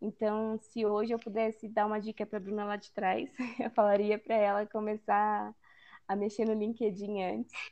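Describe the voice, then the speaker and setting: The voice belongs to a woman, pitched fairly high. She keeps to a moderate speed. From Brazil, São Paulo interior. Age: 20s. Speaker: food engineering student and product development analyst. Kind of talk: casual interview chat.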